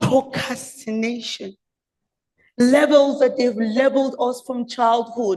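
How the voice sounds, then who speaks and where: Loud and high-pitched, a woman speaks at a very slow pace with fairly even intonation. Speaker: public speaker. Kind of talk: prepared speech. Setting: stage with audience.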